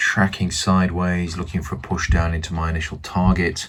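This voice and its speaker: Soft-spoken, a man with a British accent talks at a moderate pace. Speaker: forex trader vlogger. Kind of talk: casual video diary. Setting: at home. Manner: hesitant with fillers.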